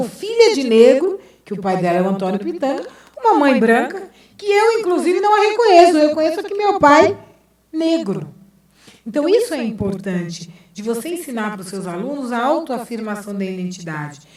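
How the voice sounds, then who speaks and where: With audible room echo, a woman speaks at a moderate pace in a high pitch, making very wide pitch swings and big swings in loudness. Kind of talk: lecture and debate answer.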